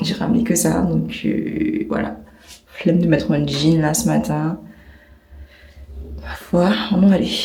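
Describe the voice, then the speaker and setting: Through audible room echo and noticeable background noise, a woman talks very slowly with long, frequent pauses. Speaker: travel vlogger. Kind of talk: casual vlog talk. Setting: hotel room.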